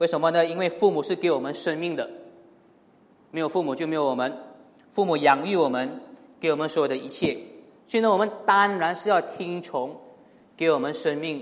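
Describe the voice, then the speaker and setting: Long, frequent pauses break up the fairly quick speech of a man with a high voice and ordinary pitch variation, heard with audible room echo. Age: 30s. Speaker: pastor. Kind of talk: sermon. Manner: frequent fillers and hesitations.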